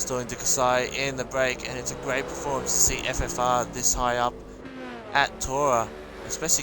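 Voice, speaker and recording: A man with an Australian accent at a moderate pace, with noticeable background noise and audible room echo. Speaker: sim racing league commentator and streamer. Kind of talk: live commentary. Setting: live stream. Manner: animated.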